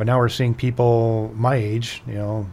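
A man speaks with an American accent and fairly even intonation. His voice is somewhat breathy. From US Midwest, Chicago area. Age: 50s. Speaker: orthopedic surgeon. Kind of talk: radio interview.

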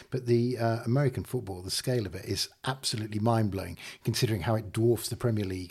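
A man talks at a very fast pace in a fairly low, somewhat breathy voice with a dark, mellow tone. His pitch varies in an ordinary way while his loudness swings widely. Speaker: podcast host. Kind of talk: casual chat.

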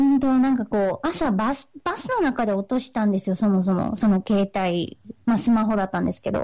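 With ordinary pitch variation, this woman's voice stays fairly high. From Sendai, Miyagi, Japan. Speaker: aspiring singer/performer. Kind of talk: casual interview chat. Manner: halting, many fillers.

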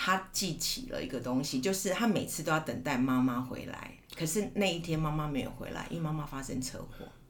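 With hardly any pauses, a woman speaks at a fairly quick pace in a very deep, low pitch. Her intonation is lively, over noticeable background noise. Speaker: teacher and counselor. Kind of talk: casual chat. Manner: clear articulation.

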